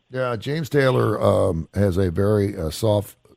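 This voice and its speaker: This man speaks at a fairly low pitch. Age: 60s. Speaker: radio show co-host. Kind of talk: casual chat. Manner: animated; halting.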